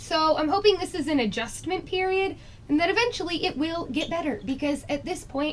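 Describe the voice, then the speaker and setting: With lively intonation, a woman speaks at an extremely high pitch. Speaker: beauty vlogger. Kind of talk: makeup review.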